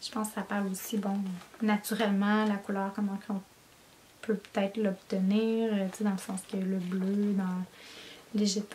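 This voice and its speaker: Speaking at a moderate pace in a Quebec accent, a woman keeps a medium pitch and a monotone, flat intonation. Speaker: knitting podcaster. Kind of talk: casual chat. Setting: home basement office.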